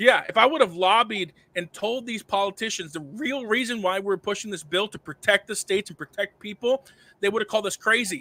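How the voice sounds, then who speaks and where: A man speaks in a high, raised and projected voice with a bright, sharp, animated tone, ordinary pitch variation and a fairly quick pace, in a dry, close recording with no echo. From Cuba. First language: Spanish. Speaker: sound money advocate, former financial advisor. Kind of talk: podcast interview. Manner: fast, animated; halting with stammers.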